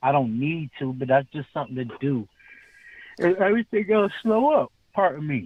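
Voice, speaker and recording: This man's fairly high voice swings very widely in pitch as he talks at a moderate pace. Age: 40s. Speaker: podcast co-host. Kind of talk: casual chat.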